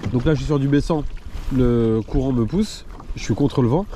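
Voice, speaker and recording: Noticeable background noise surrounds a man who speaks at a medium pitch and a moderate pace with ordinary pitch variation. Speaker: fishing video creator. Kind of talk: casual vlog narration. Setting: outdoors on a kayak at sea.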